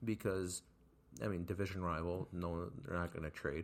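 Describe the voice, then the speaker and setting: Someone with an American accent talks at a moderate pace on a very clean recording with a silent background. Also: man. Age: 18. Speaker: sports podcast co-host. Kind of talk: casual chat.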